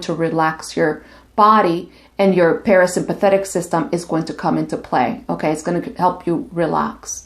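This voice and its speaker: A woman's unremarkable speaking voice, fairly low in pitch, with ordinary pitch variation at a moderate pace. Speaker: licensed marriage and family therapist. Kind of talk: casual talk to camera.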